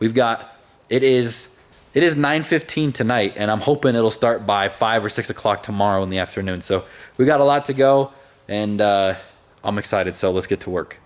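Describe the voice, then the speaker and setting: His pitch sits at a medium level, and the man varies it in an ordinary way. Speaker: car builder / automotive vlogger. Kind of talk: casual workshop vlog. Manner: fast.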